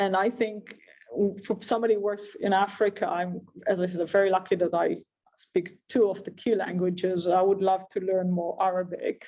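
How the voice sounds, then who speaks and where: With music in the background, someone speaks at a moderate pace in a French accent. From Israel. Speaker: investment professional, panellist. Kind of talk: panel discussion. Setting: video call.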